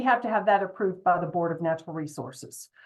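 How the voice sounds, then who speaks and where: Lively intonation marks a woman's speech in a Southern US accent. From US South. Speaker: state environmental regulator. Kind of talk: public presentation at town hall. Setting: town hall meeting. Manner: fast.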